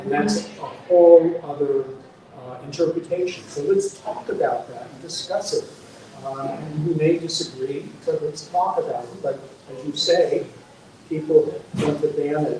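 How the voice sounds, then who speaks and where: Over noticeable background noise, a man talks at a fairly slow pace with big swings in loudness. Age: 70s. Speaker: author. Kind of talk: book talk interview. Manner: halting, many fillers.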